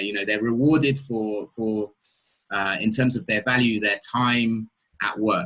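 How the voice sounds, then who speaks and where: A man with an English accent, medium in pitch, at a moderate pace with fairly even intonation. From England. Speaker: interviewer. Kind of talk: interview. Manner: halting, many repetitions.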